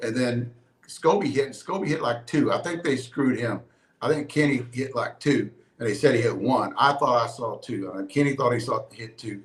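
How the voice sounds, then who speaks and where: At a moderate pace, a man speaks somewhat breathily at a medium pitch with ordinary pitch variation. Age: 60s. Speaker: softball player and video guy. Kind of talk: casual chat. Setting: live stream. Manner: animated.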